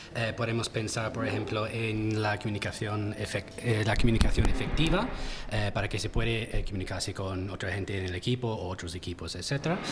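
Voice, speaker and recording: Noticeable background noise sits behind the voice. A man with an English accent talks at a moderate pace. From England. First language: English (speaking Spanish). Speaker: talent acquisition recruiter. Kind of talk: panel discussion. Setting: round table at a university event.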